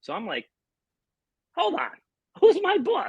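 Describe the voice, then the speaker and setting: The speaker has an American accent and an animated tone at a moderate pace. The sound is dry and close, with no echo. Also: man. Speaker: slot machine YouTuber. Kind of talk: casual interview. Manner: loud.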